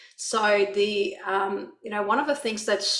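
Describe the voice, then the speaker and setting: A woman speaks at a medium pitch with a non-native accent and fairly even intonation. Noticeable background noise and audible room echo are present. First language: not English. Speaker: author. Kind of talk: panel discussion. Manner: hesitant, many fillers.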